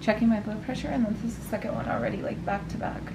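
A woman talks against noticeable background noise. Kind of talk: casual vlog chat. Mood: strained, in pain. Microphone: phone near.

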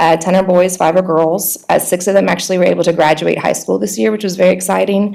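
A woman talks at a very fast clip with hardly any pauses, her pitch medium and her intonation fairly even. Noticeable background noise runs underneath. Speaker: nonprofit coordinator presenting to school board. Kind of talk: report presentation. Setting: board meeting.

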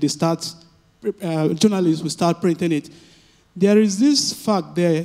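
A man with an African accent has a high pitch and a dark, mellow tone. His intonation stays fairly even. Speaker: audience member asking a question. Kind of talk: audience Q&A at a panel. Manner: halting, many fillers.

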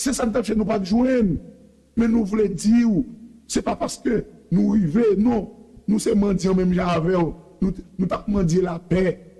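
A man talks at a high pitch and a fairly slow pace, with ordinary pitch variation. Long, frequent pauses break up his speech against a quiet background. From Haiti. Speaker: preacher. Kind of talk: sermon. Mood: preaching, passionate. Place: studio.

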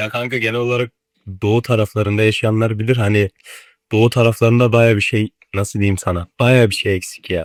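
A man speaks fairly quickly at medium pitch, flat and monotone, with a dry, close sound and no echo. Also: very clean recording, silent background. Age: young. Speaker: university student and video editor who trades. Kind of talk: casual chat.

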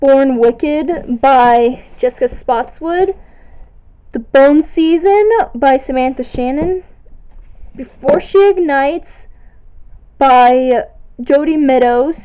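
Her pitch high and her intonation lively, a woman talks at a very slow pace with long, frequent pauses. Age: young (19). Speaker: video blogger. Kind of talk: bookshelf tour listing titles. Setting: home recording on camera, echoey room. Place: home room. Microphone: phone near.

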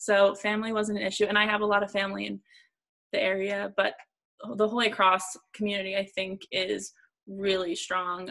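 A woman's bright, sharp voice in an American accent, monotone and flat, at a moderate pace against a quiet background. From Northeast Pennsylvania. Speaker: public relations professional; panelist. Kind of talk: panel discussion. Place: home room. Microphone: video call.

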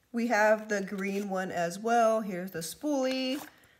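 Amid noticeable background noise, a woman talks at a very slow pace, with a medium pitch and ordinary pitch variation. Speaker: beauty product business owner. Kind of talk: product showcase. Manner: animated.

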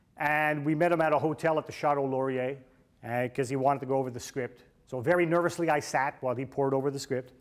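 Fast and with few pauses, a man speaks at a medium pitch. His intonation stays fairly even.

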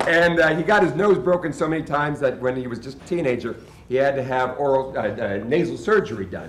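A man talking at a very fast pace, with audible room echo and light background noise. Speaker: sideshow performer and emcee. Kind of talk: live stage emcee address to audience. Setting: live event, stage. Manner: emotional, hesitant. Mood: emotional, tribute to late performer. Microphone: camera far.

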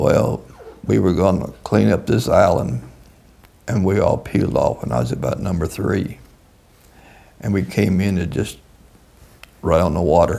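A man with a very deep, low voice and a Southern US accent speaks at a moderate pace with lively intonation and long, frequent pauses, over noticeable background noise. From US South, Kentucky (Owensboro). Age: 80s+. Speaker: war veteran. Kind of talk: interview. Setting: in person, on camera.

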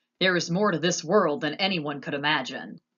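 The voice is a put-on character act. Its pitch stays in the middle range. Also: moderate pace.

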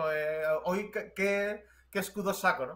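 Over a quiet background, a man projects a raised voice with a bright, sharp tone, pitched high and varying in an ordinary way. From Spain, Jerez (Andalusia); Andalusia, Spain. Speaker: commentator; interview guest. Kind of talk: casual chat. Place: home room.

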